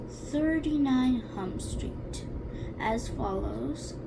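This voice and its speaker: A woman does a resonant put-on character voice at a very slow pace. Loud background noise runs behind her. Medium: read story. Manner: pompous, formal.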